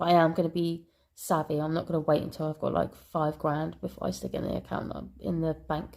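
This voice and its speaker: At a fairly quick pace, a woman with a British accent speaks on a very clean recording with a silent background. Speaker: budgeting vlogger. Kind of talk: casual vlog talk. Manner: hesitant, many ums and ahs.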